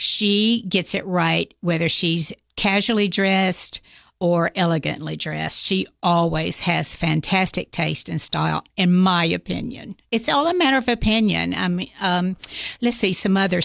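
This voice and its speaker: Keeping her loudness very even, a woman speaks at a fairly slow pace. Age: 60s. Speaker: seamstress and theater costumer. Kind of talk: casual interview. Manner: hesitant with fillers.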